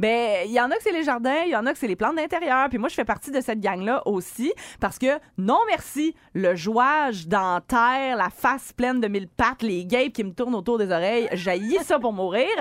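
A woman talks at a moderate pace with a high pitch. She leaves hardly any pauses. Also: lively intonation, very clean recording, silent background. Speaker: radio host. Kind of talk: casual morning radio banter. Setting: studio.

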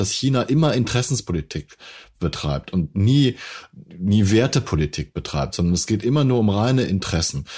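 A man's unremarkable speaking voice, fairly low in pitch, at a moderate pace over a quiet background. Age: 50s. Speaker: podcast host, journalist. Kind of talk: interview.

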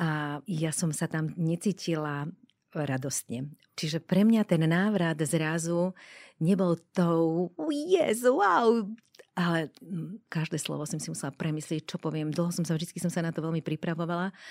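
A woman talks at a fairly slow pace with ordinary pitch variation, captured in a very clean recording with a silent background. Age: 60s. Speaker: death doula, former TV presenter. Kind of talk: interview. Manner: halting.

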